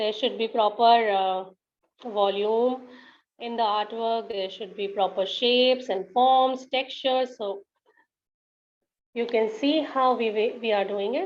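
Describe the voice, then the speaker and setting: The speaker talks at a fairly slow pace with ordinary pitch variation and long, frequent pauses. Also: woman, fairly high pitch for a woman. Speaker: art teacher. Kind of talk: tutorial. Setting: live online session.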